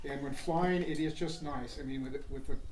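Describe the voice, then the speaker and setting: Moderate pace with noticeable background noise. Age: 60s. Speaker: paramotor student pilot. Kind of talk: casual interview. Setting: sitting down over coffee.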